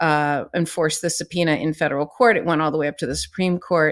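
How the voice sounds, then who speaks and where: A woman with an American accent and an unremarkable speaking voice, fairly low in pitch with fairly even intonation, in a very clean recording over a silent background. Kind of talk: casual legal news commentary.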